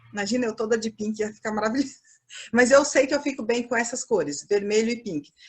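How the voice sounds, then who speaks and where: A woman with a Minas Gerais accent, fairly high-pitched, with ordinary pitch variation and a very fast pace. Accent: mineiro (Minas Gerais). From Minas Gerais, Brazil, near Bahia border. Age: 50s. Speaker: fashion professor. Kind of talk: lecture.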